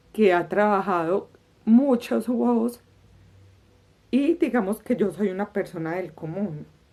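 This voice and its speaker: A woman talks at a very slow pace with lively intonation. Her tone is dark and mellow. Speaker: podcast host. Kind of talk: interview conversation.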